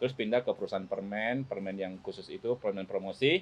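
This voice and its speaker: A man speaks in a normal speaking voice. His pitch varies in an ordinary way. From Malay-speaking Chinese Indonesian region outside Jakarta. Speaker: businessman. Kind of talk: casual podcast interview.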